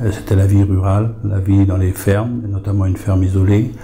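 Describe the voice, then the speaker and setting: A man with a fairly low pitch speaks at a moderate pace in a monotone, flat intonation. Noticeable background noise is present. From France, Lorraine (Lunéville area). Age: 70s. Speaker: author and retired farmer. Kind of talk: interview. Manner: hesitant, many fillers.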